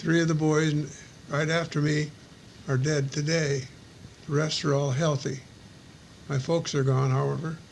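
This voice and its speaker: In an American accent, the voice stays monotone and flat at a moderate pace, with very even loudness and long, frequent pauses. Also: man, fairly high pitch for a man. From US Midwest. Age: 70s. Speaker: war veteran. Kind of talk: personal recorded reminiscence.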